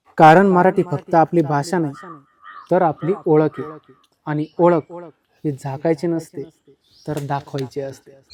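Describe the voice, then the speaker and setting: A man with an unremarkable speaking voice, fairly high in pitch, fairly even in intonation, in a dry, close sound with no echo. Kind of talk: comedy sketch host narration.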